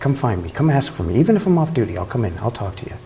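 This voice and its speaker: A man speaks over noticeable background noise. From Latin household, Cuban family (US). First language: Spanish. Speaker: police officer. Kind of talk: news interview.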